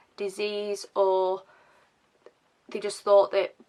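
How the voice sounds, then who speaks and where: Speaking with a British accent, a woman keeps a medium pitch and monotone, flat intonation. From England. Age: 20s. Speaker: vlogger. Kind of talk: casual to-camera talk. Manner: hesitant, many fillers.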